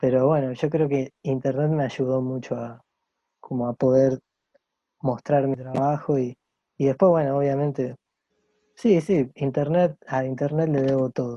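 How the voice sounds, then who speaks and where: This man talks fairly slowly in a medium pitch with fairly even intonation and a dark, mellow tone. His long, frequent pauses come through in a dry, close sound with no echo. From Argentina, Santa Fe and Rosario. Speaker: illustrator. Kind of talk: casual interview chat. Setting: video call.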